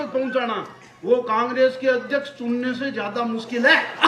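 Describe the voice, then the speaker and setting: A man speaks at an extremely high pitch. The room echo is audible, and background noise is noticeable. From Rajasthan (Marwar). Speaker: comedian poet. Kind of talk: stand-up. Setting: stage with audience. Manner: animated.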